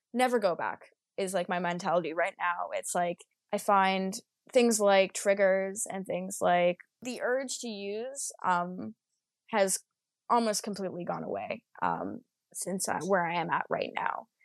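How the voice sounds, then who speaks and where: Speaking at a fairly slow pace, a woman has a plain, everyday voice at medium pitch with ordinary pitch variation, and the sound is dry and close with no echo over a quiet background. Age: 20s. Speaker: podcast guest sharing recovery story. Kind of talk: interview, personal testimony. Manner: casual, frequent laughter.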